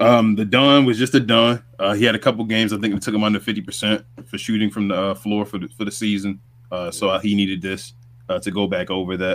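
In a New York accent, a man speaks at a very fast pace with a fairly low pitch. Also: ordinary pitch variation. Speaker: sports podcast co-host. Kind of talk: casual sports recap chat.

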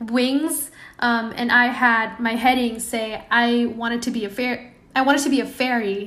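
With audible room echo, a woman speaks at a high pitch and moderate pace, her tone bright and sharp and her intonation monotone and flat. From Indonesia. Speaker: product designer. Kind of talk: casual interview.

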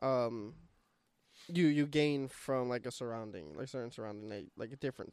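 A man talks at a moderate pace and medium pitch, with an ordinary speaking voice. His intonation is lively, and his loudness swings widely. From Puerto Rico and New York. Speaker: podcast co-host, student. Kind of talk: casual chat.

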